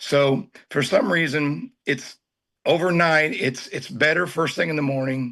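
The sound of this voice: A man speaks at a fairly slow pace and a fairly high pitch. His voice is hoarse and raspy, with a fairly bright tone. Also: ordinary pitch variation.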